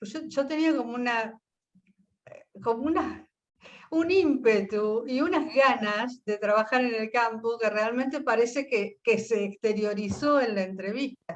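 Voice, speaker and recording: A woman's fairly high voice at a fairly slow pace with ordinary pitch variation. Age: 60s. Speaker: physician. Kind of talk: interview testimony. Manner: halting, with self-corrections.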